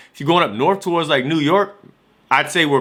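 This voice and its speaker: With an American accent, a man talks in an animated, high-pitched voice with ordinary pitch variation. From Washington DC. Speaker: vlogger. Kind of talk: casual vlog talk. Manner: fast, animated.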